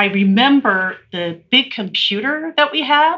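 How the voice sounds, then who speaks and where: An unremarkable speaking voice from a woman, medium in pitch, with lively intonation and an American accent. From Utah, Salt Lake City. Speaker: ski resort retail executive. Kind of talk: interview.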